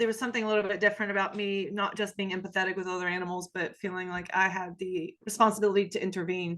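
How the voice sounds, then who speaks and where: Very fast, nearly pauseless monotone speech with an Appalachian accent, flat in intonation, over a quiet background. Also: woman, medium pitch for a woman. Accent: Southern US, Appalachian. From US South, Appalachia. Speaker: sociology professor. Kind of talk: podcast interview.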